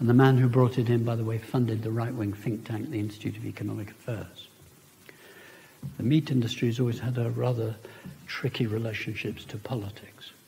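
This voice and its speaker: The speech moves at a fairly quick pace. Audible room echo surrounds it. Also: man, medium pitch for a man. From India, then Britain. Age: 70s. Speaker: professor. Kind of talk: public lecture. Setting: lecture hall with audience. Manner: animated.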